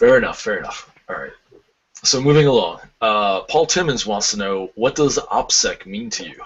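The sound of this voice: With lively intonation, a man talks at a moderate pace in a fairly low pitch, his fairly bright tone carrying a slightly husky edge.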